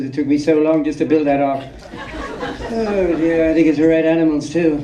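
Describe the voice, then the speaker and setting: With an American accent, a man talks at a high pitch and moderate pace, with ordinary pitch variation. Audible room echo and crowd noise fill the background. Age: 60s. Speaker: film subject at festival Q&A. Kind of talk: audience Q&A. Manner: halting, many fillers and repeats.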